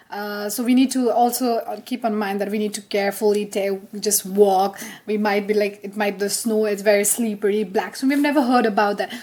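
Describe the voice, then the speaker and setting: A woman at medium pitch and a fairly quick pace, with fairly even intonation and noticeable background noise. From Nepal. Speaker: podcast co-host, international student. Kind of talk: casual chat. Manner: halting.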